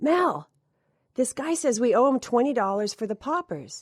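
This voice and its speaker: Using a put-on character voice, a woman speaks high and raspy with very wide pitch swings at a moderate pace, in a dry, close sound with no echo. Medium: read story.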